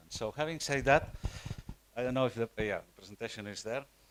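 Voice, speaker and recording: A man is speaking. He talks with a Catalan accent. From Spain, Catalonia. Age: 60s. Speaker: nonprofit network representative. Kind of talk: conference presentation. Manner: halting, many fillers and repetitions.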